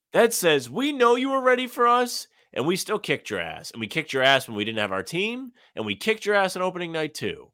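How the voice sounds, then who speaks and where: On a very clean recording with a silent background, a man with an American accent uses a raised, projected voice, high pitch, very wide pitch swings, a bright, sharp tone and a very fast pace. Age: 20s. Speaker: sports podcast co-host. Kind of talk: casual chat.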